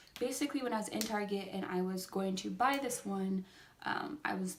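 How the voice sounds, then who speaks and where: A woman talks at a medium pitch with ordinary pitch variation. Noticeable background noise runs under her voice. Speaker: beauty vlogger. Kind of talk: makeup review vlog. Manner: fast; words jumbled, tongue-tied.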